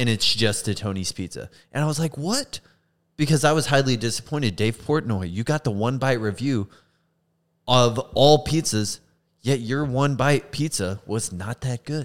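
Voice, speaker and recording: Speaking at a moderate pace, a man with a medium pitch and ordinary pitch variation has a plain, everyday voice. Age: 20s. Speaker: podcast co-host, energy drink brand creator. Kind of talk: casual chat.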